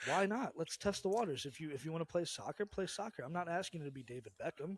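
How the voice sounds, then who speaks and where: A man speaks at a very fast pace with lively intonation. His pitch is high. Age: 30s. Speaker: podcast co-host, expecting father. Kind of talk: casual chat.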